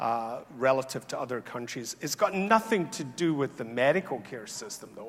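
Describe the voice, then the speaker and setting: At a moderate pace, a man talks with lively intonation at a medium pitch. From Scotland. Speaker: health economist, awards ceremony host. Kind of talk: conference closing remarks. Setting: conference hall with audience. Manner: conversational, many fillers.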